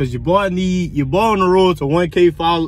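Light background noise sits under a dry sound with no echo, and the voice shows ordinary pitch variation. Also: man. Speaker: car vlogger. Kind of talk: casual vlog chat. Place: car. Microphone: phone near.

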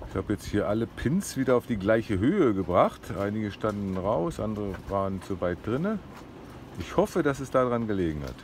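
Against light background noise, a man speaks at a fairly quick pace. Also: fairly low pitch for a man, dry sound with no echo. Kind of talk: casual vlog chat. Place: boat. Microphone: phone near.

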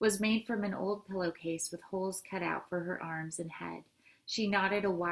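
The text is read aloud, and the voice sounds natural.

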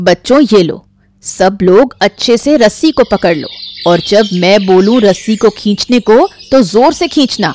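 A female-sounding put-on character voice at medium pitch and a moderate pace. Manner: caring, protective.

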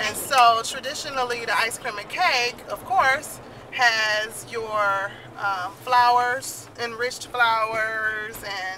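Music plays in the background behind a woman speaking. Her voice sounds dry with no echo. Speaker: family vlogger. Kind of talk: casual vlog chat. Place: car. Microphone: phone near.

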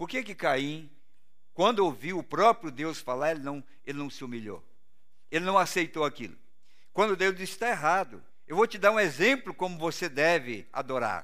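Against a quiet background, a man with a Brazilian accent speaks in a bright, sharp tone, his pitch swinging very widely between long, frequent pauses. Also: moderate pace, big swings in loudness. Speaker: pastor. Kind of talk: sermon. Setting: church. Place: church.

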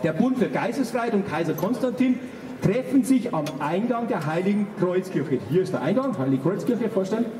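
A man's voice carries some room echo over faint background noise. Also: moderate pace. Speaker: speaker. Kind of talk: public speech and sketch introduction. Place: street.

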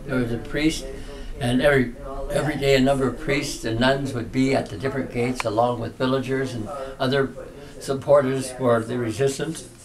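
Noticeable background noise is present throughout. A man talks over it at a moderate speed. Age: 80s+. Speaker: Jesuit priest. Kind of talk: interview answer. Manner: passionate. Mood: passionate, warm, reflective. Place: home room. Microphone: camera far.

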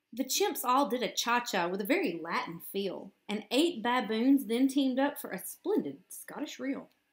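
A woman talks at a moderate pace with lively intonation, a fairly high pitch and a slightly husky edge.

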